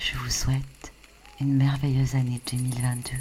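A woman's very deep, low voice at a fairly slow pace, monotone and flat, with noticeable background noise and audible room echo. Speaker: sophrologist. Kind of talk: guided meditation. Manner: soft-spoken.

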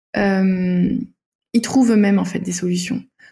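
Her voice sits at medium pitch, somewhat breathy, with a dark, mellow tone and fairly even intonation. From Denmark. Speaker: naturopath and author. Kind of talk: interview. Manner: hesitant, many fillers.

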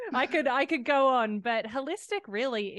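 Over a quiet background, a woman with an Australian accent speaks at a fairly slow pace with lively intonation, the sound dry and close with no echo. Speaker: fitness coach and author. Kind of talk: interview.

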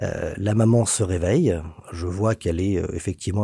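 A man's voice, somewhat breathy. The tone is dark and mellow. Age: 40s. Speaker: notary. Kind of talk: storytelling. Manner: hesitant fillers.

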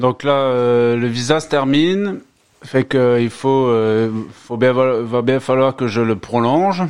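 A man with a medium-pitched voice talks at a very slow pace, his pitch varying in an ordinary way. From France, Moselle. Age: 30s. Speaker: immigrant worker. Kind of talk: casual interview. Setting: home studio.

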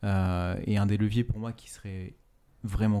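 A man's fairly low, dark, mellow voice with fairly even intonation, in a very clean recording with a silent background. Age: 30s. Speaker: fashion entrepreneur. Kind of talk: interview. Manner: halting, many fillers and repetitions.

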